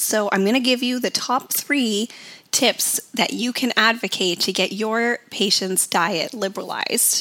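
A woman with a fairly high pitch talks at a fairly slow pace with ordinary pitch variation, over noticeable background noise. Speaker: podcast host, dietitian. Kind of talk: educational podcast monologue. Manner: informative, teaching tone.

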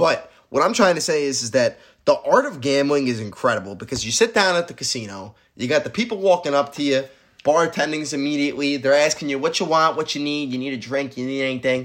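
Very fast, fairly high-pitched male speech with lively intonation and an American accent. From upstate New York (Syracuse). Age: 20s. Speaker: podcast co-host, college student. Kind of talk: casual chat.

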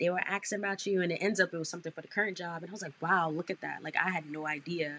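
With a New York accent, a woman races along at a very fast pace in an animated, bright, sharp tone. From Brooklyn, New York. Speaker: advertising sales manager. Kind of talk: interview.

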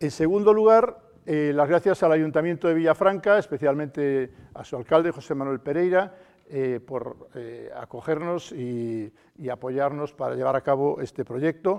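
With a fairly high pitch, a man talks at a fairly slow pace, using lively intonation and big swings in loudness. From Spain, El Bierzo (León). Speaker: journalist and debate moderator. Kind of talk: panel debate. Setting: theatre stage with audience. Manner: halting, many repetitions and fillers.

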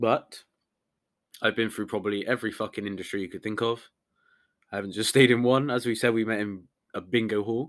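In a very clean recording with a silent background, a man with a British accent talks fairly quickly at medium pitch with fairly even intonation and long, frequent pauses. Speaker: podcast co-host. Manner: casual, laid-back.

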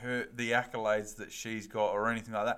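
The voice has a bright, sharp tone. It comes with an Australian accent. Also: man. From Western Australia. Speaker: footy podcast co-host. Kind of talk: casual chat.

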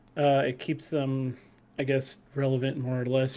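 A man with a normal speaking voice and fairly high pitch speaks at a moderate pace. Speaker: graphic designer and gamer. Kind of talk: casual chat. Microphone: too quiet.

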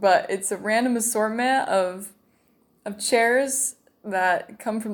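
In a normal speaking voice, a woman with an American accent talks at a fairly high pitch with fairly even intonation, on a very clean recording with a silent background. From Utah. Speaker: missionary. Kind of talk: testimony.

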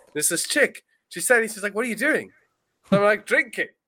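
Bright and sharp, the tone stands out. The voice is raised and projected. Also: man. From South Africa. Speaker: podcast host. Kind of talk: casual chat.

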